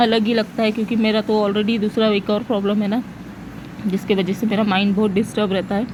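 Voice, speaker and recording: Fairly high speech from a woman amid noticeable background noise. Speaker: vlogger. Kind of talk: casual vlog narration.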